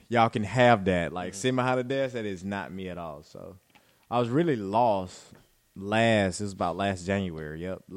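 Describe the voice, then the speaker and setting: With an Alabama accent, a man with a fairly low voice speaks at a moderate pace, showing ordinary pitch variation and big swings in loudness. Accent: Southern US (Alabama). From US South, rural Alabama. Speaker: teacher. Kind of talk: casual chat.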